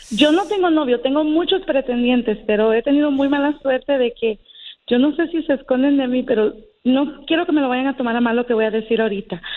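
This woman's voice is high-pitched and shows ordinary pitch variation. She keeps to a moderate pace. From Uruguay. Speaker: caller. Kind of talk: casual chat. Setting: phone call.

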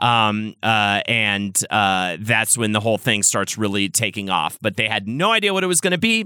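Pitched fairly low, a man speaks at a moderate pace with hardly any pauses, a bright, sharp tone, very even loudness and ordinary pitch variation, on a very clean recording with a silent background. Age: 40s. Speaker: podcast host. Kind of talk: casual chat. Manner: halting, many fillers.

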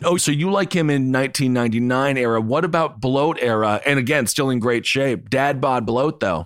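A man with a normal speaking voice, hardly any pauses, ordinary pitch variation and a moderate pace. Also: medium pitch for a man, very even loudness. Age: 30s. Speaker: wrestling and sports podcast co-host. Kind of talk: casual chat.

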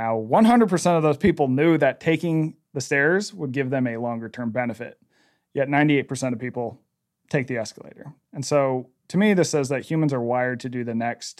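A man's plain, everyday voice, medium in pitch with ordinary variation and a fairly quick pace, on a very clean recording with a silent background. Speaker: author. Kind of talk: interview conversation.

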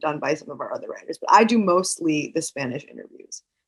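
A woman with an American accent, an unremarkable speaking voice, fairly low pitch and lively intonation. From New York City. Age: 20s. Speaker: media executive. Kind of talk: interview.

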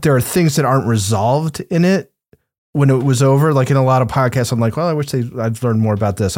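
A man with a medium-pitched, ordinary speaking voice talks at a fairly quick pace with ordinary pitch variation. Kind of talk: casual banter and podcast review.

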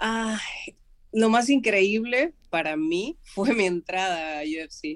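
Very slowly and with lively intonation, a woman speaks. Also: medium pitch for a woman. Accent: Argentine. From Argentina. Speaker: mixed martial arts fighter. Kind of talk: interview.

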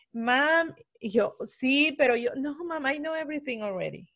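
A woman's high-pitched voice at a very slow pace, with lively intonation. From El Salvador. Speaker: podcast host. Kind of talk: casual chat.

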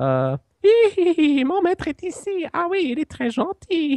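In a put-on character voice with a French accent, the speaker goes at a fairly slow pace with an extremely high, squeaky pitch. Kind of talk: fantasy creature voice. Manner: gleeful, scheming.

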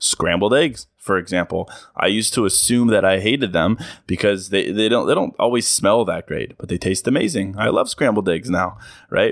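Moderately paced, a normal speaking voice from a man, fairly low-pitched with ordinary pitch variation, the recording very clean and the background silent. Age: 30s. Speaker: podcast host. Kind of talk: solo monologue podcast. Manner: casual, conversational.

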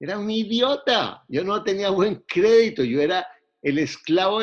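In a Bogotá accent, a man talks with very wide pitch swings. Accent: Bogotá Colombian Spanish. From Colombia, Bogotá. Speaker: real estate investor. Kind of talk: interview.

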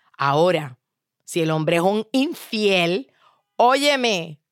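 A woman at a very slow pace, in a very clean recording with a silent background and a dry, close sound with no echo. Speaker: motivational speaker. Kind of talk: motivational monologue.

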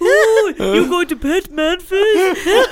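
A put-on character voice at an extremely high pitch, with clear background noise behind it. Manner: goofy, sweet.

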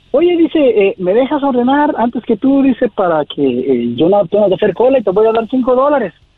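An extremely high-pitched man talks at a fairly quick pace with hardly any pauses, very wide pitch swings and very even loudness. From Mexico. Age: 40s. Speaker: caller. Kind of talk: phone call.

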